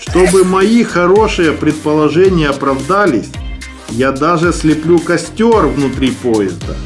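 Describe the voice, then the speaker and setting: Backed by music, a man with a fairly high pitch speaks at a very slow pace, his loudness very even and his intonation lively. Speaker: horror storyteller who sculpts clay figures. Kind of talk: scary story narration with ASMR sounds.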